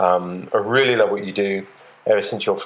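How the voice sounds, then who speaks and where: With an English accent, a man speaks at a moderate pace over noticeable background noise. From England. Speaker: listener calling in with a question. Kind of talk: recorded voice question. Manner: halting.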